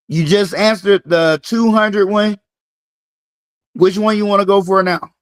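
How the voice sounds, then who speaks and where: A man with a high pitch speaks in a Southern US accent, his intonation fairly even. Long, frequent pauses break up his speech, and the sound is dry and close with no echo. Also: moderate pace. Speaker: fitness coach hosting a live game. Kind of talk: live-stream game hosting.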